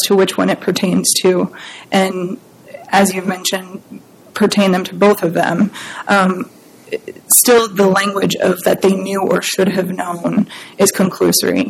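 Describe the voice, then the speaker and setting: A woman speaks at a medium pitch and a fairly slow pace, with long, frequent pauses over noticeable background noise. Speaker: appellate lawyer. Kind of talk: courtroom oral argument. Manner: formal.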